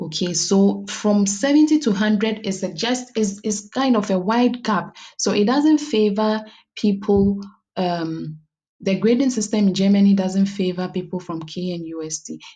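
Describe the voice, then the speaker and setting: Somewhat breathy and dark, mellow in tone, a woman speaks at a medium pitch over a quiet background. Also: ordinary pitch variation, moderate pace. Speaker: YouTuber giving study-abroad advice. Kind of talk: tutorial. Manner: halting.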